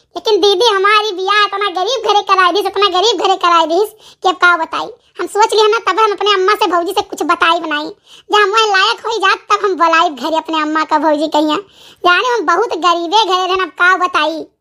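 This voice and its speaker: A woman in a cartoonish character voice, extremely high-pitched, at a fairly quick pace. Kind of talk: rural comic family drama. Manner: warm, calm, forgiving.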